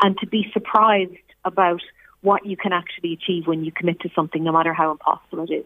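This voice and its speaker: In an Irish accent, a woman with a fairly low voice speaks with fairly even intonation. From Ireland, Dundalk. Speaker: scientist and performer. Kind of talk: interview.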